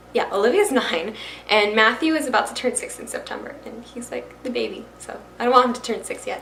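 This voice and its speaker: Over noticeable background noise and audible room echo, a woman with a Florida accent speaks at a moderate pace in a high pitch, with lively intonation and an animated tone. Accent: American, Florida. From Florida (Miami and Brooksville near Tampa). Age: young. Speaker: YouTuber and fashion reseller. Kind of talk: casual talk to camera. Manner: chatty, animated.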